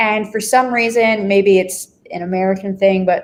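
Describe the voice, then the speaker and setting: Here is an unremarkable speaking voice from a woman at a medium pitch. She goes at a fairly slow pace with fairly even intonation. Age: 20s. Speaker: affiliate marketing manager. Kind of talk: live stream interview.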